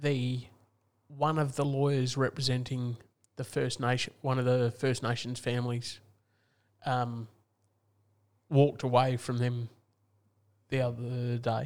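A man with an Australian accent speaks in a flat monotone, leaving long, frequent pauses. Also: medium pitch for a man. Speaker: football podcast co-host. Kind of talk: casual banter about AFL.

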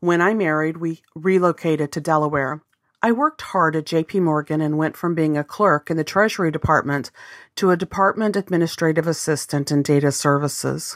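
In an American accent, a woman with a very deep, low pitch speaks at a fairly quick pace with fairly even intonation. The recording is very clean and dry, with a silent background and a close sound without echo. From US South, Arkansas. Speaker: business coach, podcast host. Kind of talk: scripted podcast monologue.

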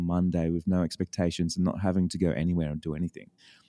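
A man with an Australian accent speaks at a very fast pace, his very deep, low pitch carrying a dark, mellow tone. The recording is very clean, with a silent background and a dry, close sound with no echo. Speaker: business coach. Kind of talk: casual interview chat. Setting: studio, early morning.

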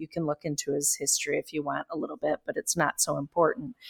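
Heard in a dry, close sound with no echo, a woman has a fairly low pitch and a normal speaking voice. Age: 40s. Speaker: anti-racism podcaster and activist. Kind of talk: casual chat. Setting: video call.

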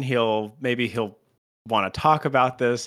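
Bright and sharp in tone, a man's medium-pitched voice comes through on a very clean recording with a silent background. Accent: American. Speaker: podcast host. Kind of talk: casual comedic banter.

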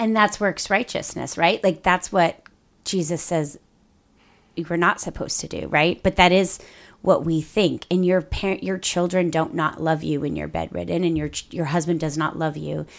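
Speaking at a moderate pace with fairly even intonation and vocal fry, a woman with a fairly low pitch comes through on a very clean recording with a silent background. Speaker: podcast co-host. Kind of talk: casual chat. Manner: clear enunciation.

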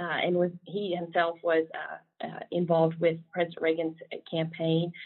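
In a Southern US accent, a woman with a fairly low pitch talks at a fairly slow pace. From South Carolina. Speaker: government official. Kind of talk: casual interview.

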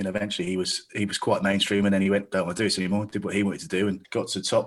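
A man with a southern English accent talks at a very fast pace in a fairly low voice. His intonation stays fairly even. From south-east England (Staines). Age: 40s. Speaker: stand-up comedian and club promoter. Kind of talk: casual chat.

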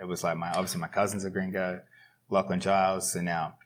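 In an Australian accent, a man speaks with very deep, low pitch. His pace is fairly quick. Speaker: professional grappler. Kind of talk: casual interview chat.

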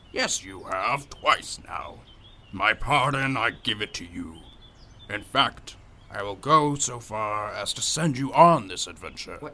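A man puts on a character voice at medium pitch, speaking at a fairly slow pace over clear background noise. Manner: grand, teasing, pedantic.

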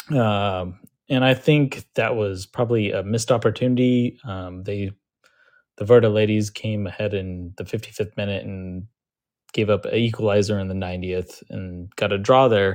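A man with an unremarkable speaking voice talks at a moderate pace, fairly low in pitch and with fairly even intonation, over a quiet background. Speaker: caller giving women's team updates. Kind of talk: casual chat, sports update.

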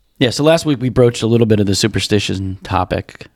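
Here is a man with an ordinary speaking voice, pitched fairly low. He talks at a fairly quick pace. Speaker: podcast host. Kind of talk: casual banter podcast.

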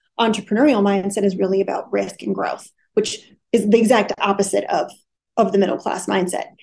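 Vocal fry runs through a woman's medium-pitched voice, which has an American accent and fairly even intonation. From US Midwest, Wisconsin. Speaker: business consultant, CEO. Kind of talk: interview.

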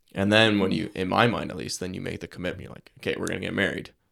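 Very fast and very deep, a man talks at a low pitch with vocal fry and ordinary pitch variation. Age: 20s. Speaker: podcast host. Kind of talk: interview. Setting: studio.

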